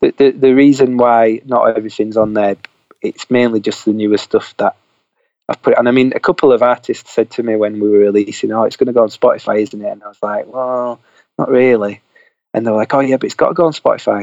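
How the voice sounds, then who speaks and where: Very fast speech from a man, medium in pitch, with fairly even intonation. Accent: Yorkshire. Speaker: indie record label owner. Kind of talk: casual interview chat. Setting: at home, remote call.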